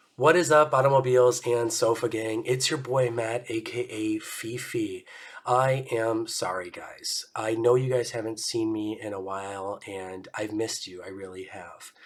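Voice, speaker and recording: A man's medium-pitched, somewhat breathy voice at a moderate pace, with ordinary pitch variation and big swings in loudness. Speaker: car vlogger. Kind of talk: casual vlog. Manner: casual, hesitant with fillers.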